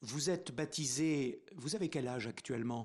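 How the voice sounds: Slightly husky at the edges, a man's voice moves with ordinary pitch variation. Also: medium pitch for a man, moderate pace.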